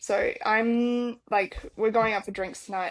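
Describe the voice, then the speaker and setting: Speaking at a fairly slow pace, this woman has an Australian accent. Her delivery takes its time. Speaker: stage manager, podcast co-host. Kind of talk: casual chat.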